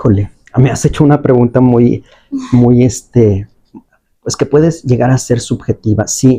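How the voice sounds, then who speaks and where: A man with a medium pitch and a somewhat breathy voice speaks at a fairly slow pace with fairly even intonation. He leaves long, frequent pauses. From Mexico, León, Guanajuato. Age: 40s. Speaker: appeals court judge. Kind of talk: interview. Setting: judge's office. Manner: hesitant, with fillers.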